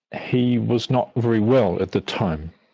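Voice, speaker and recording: The intonation is lively, with a New Zealand accent. Delivery comes at a very slow pace. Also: man. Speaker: biblical archaeology lecturer. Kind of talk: interview.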